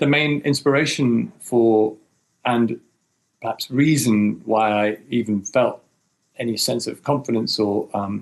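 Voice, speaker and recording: A fairly slow delivery in a British accent, with ordinary pitch variation. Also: man, medium pitch for a man. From mixed: New Zealand, US, Germany; UK from 16. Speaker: film director. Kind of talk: interview. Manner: hesitant with fillers.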